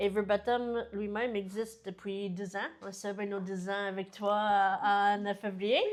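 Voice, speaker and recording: A woman with a medium pitch speaks in a monotone, flat intonation. Her pace is fairly slow, with hardly any pauses. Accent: American. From United States. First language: English (speaking French). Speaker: business founder. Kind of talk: interview. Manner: hesitant, many fillers.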